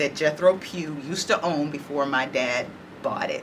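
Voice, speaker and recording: A woman with a very deep, low pitch talks at a moderate pace with ordinary pitch variation over noticeable background noise. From Dallas, Texas (Oak Cliff). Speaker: oral history interviewee. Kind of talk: oral history interview.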